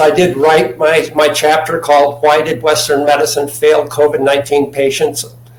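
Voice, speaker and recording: Against noticeable background noise, a man talks at a moderate pace in a fairly high pitch. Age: 70s. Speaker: chemist and natural health advocate. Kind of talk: interview. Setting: video call from home. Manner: halting, repeats words. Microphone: laptop mic.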